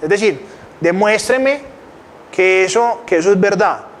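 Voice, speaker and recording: A man speaks at a high pitch with ordinary rises and falls. Background noise is noticeable. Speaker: financial educator. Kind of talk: lecture. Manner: fast.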